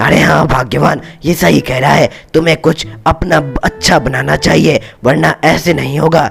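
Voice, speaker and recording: A man puts on a cartoonish character voice, raspy and medium in pitch. He keeps a moderate pace with clear music in the background. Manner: affectionate, repeats "arre, arre".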